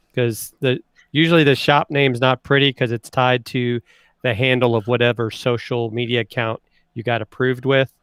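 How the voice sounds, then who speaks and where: A man speaks with a Southern US accent. His intonation is monotone and flat. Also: medium pitch for a man, moderate pace. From US South. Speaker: livestream co-host. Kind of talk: casual chat.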